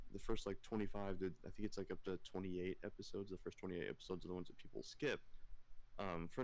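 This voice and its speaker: Mumbling at a very fast pace, a man speaks with ordinary pitch variation. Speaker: streamer and podcast host. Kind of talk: casual chat. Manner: stutters and mumbles.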